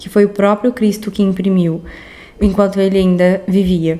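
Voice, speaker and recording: A soft-spoken woman's voice at a medium pitch, with noticeable background noise. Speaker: artist vlogger. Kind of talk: casual art vlog narration. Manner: soft-spoken, speaking quietly.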